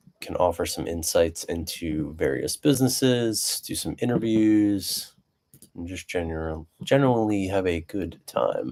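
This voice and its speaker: Soft-spoken, a man with a fairly low pitch and a dark, mellow tone speaks with lively intonation and big swings in loudness. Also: fairly slow pace. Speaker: business owner, live streamer. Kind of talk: casual live stream monologue. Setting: live stream. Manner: soft-spoken, low talker; hesitant with many fillers.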